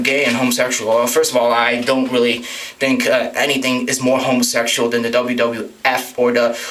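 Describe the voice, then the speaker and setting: Medium-pitched male speech at a fairly quick pace, with ordinary pitch variation, audible room echo, and noticeable background noise. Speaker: vlogger. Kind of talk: rant monologue. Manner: fast; hesitant, many fillers.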